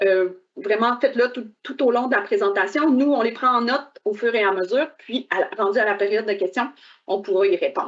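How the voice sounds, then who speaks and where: A normal speaking voice from a woman, fairly high-pitched, with ordinary pitch variation at a moderate pace. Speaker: government official moderating a webinar. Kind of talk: webinar introduction. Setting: online webcast.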